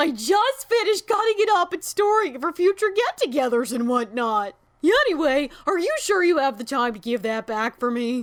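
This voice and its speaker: In a put-on character voice that sounds female, the speaker uses high pitch with very wide swings, keeping a moderate pace with hardly any pauses. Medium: read story. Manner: friendly, casual.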